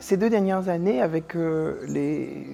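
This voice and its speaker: With music in the background, a man talks at a high pitch with ordinary pitch variation. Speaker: teacher and singer. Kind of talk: interview answer. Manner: hesitant, reflective.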